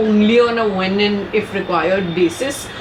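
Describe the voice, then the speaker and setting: This woman's pitch varies in an ordinary way, and noticeable background noise can be heard. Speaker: vlogger. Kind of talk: vlog, casual talk to camera. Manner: rushed, scattered.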